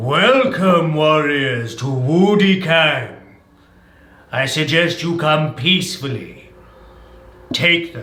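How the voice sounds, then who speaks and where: Using a put-on character voice pitched fairly high, a man speaks very slowly with long, frequent pauses and a slight echo. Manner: commanding, authoritative.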